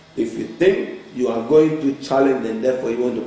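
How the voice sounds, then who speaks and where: With a strong Ghanaian accent, a man speaks at a fairly quick pace and medium pitch while music plays in the background and room echo is audible. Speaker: author and life coach. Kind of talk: motivational talk show interview. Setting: TV studio. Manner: animated, emphatic.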